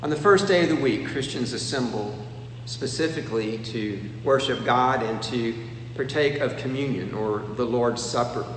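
A man's medium-pitched voice at a moderate pace with ordinary pitch variation, plus audible room echo and noticeable background noise. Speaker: preacher. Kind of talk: sermon. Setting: empty church auditorium.

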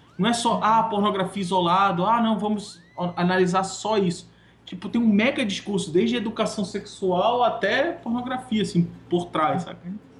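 Noticeable noise sits behind a man with a high-pitched voice. He talks at a moderate pace with ordinary pitch variation. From Manaus, northern Brazil. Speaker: designer. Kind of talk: casual chat.

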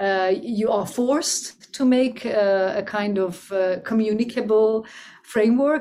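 Noticeable background noise runs behind this recording. A woman with a fairly high pitch speaks with lively intonation. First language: Persian (Farsi). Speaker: music theorist. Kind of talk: interview discussion.

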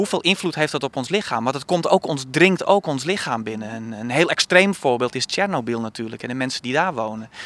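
An ordinary speaking voice moves at a fairly quick pace with lively intonation and hardly any pauses, in a dry, close sound with no echo. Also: man, medium pitch for a man. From Friesland, Netherlands. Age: 30s. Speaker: theatre director. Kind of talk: interview. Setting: outdoors on a rooftop.

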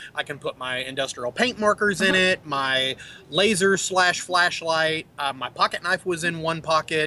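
A man with an American accent speaks in a high pitch at a moderate pace, with ordinary pitch variation, and the sound is dry and close with no echo. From Texas. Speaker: vaping industry expert. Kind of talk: casual chat.

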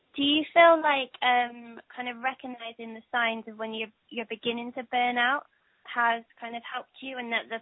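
This woman talks at a fairly quick pace in a high pitch, her intonation monotone and flat. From Bristol, England. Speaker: interviewer. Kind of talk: interview. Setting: phone call.

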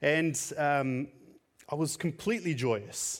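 A man with a fairly high pitch is heard on a very clean recording against a silent background. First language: Tamil. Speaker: preacher. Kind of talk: sermon. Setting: church.

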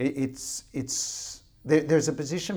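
A man speaks with a dark, mellow tone and an Australian accent. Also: very clean recording, silent background. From Australia, Riverina (rural New South Wales). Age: 50s. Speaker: fund manager. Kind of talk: interview.

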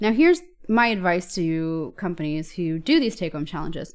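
A plain, everyday voice from a woman with an American accent, medium in pitch, fairly quick, with lively intonation over a quiet background. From US, New York. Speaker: software engineer and author. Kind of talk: casual podcast interview. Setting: remote recording from home.

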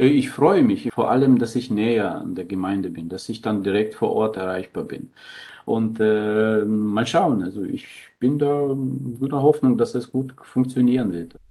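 Dark, mellow male voice at a medium pitch, fairly slow, with ordinary pitch variation. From Germany (Thuringia, raised by Ukrainian parents). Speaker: priest. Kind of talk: interview. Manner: hesitant, with fillers.

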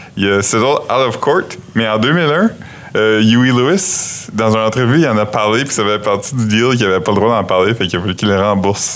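The speech holds a very even loudness at a moderate pace over noticeable background noise. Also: man, fairly low pitch for a man, ordinary pitch variation. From New Brunswick, Canada. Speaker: podcast host. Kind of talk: casual chat.

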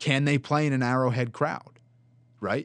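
Speech comes at a moderate pace. The background is quiet. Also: man. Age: 20s. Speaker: college student podcast host and play-by-play announcer. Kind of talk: casual sports talk. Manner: animated.

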